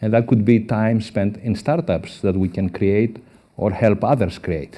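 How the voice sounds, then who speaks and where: A man with a Greek accent, a dark, mellow tone and a moderate pace. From Greece. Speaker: professor. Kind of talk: conference talk.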